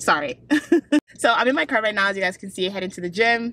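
With lively intonation, a woman speaks in a dry recording with no echo and light background noise. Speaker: fitness vlogger. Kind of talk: casual vlog chat. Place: car. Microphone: phone near.

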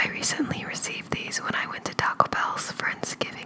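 This is a woman speaking in a whisper. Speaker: ASMR food reviewer. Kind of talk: ASMR food review, casual talk to camera. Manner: whispering. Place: home room. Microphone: studio mic.

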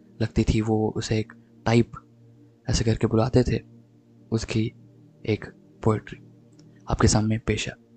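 Music plays in the background behind a monotone, flat delivery with a dry, close sound and no echo. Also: man, medium pitch for a man. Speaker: voice-over artist. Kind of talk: podcast introduction.

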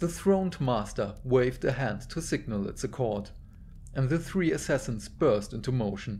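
The clip is an unforced reading voice with lively intonation.

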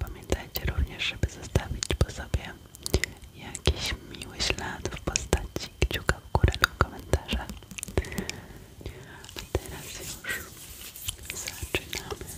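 In a whisper, a woman talks very slowly, stopping often for long pauses. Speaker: ASMR creator. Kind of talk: soft whispered ASMR intro. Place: home room. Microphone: studio mic.

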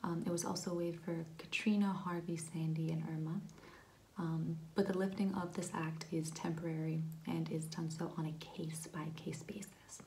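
A soft-spoken woman talks at a moderate pace in a flat monotone, her fairly low-pitched voice gentle, dark, mellow and somewhat breathy. Light background noise is present. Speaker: explainer vlogger. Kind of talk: explainer talk to camera on policy. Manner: soft-spoken, gentle ASMR voice. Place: home room. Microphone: phone near.

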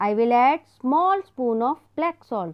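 Against a quiet background, a woman speaks in a high pitch. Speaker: teacher. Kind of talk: tutorial. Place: kitchen.

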